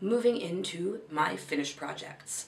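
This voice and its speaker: A woman talks at a fairly low pitch with lively intonation. Noticeable noise sits in the background. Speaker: crochet and knitting vlogger. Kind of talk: casual vlog chat. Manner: rambling, hesitant with fillers.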